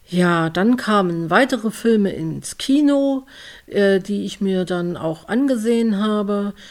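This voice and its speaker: At a very slow pace, a woman speaks with lively intonation in a medium pitch. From Leipzig, eastern Germany. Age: 40s. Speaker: podcast host. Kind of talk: personal monologue.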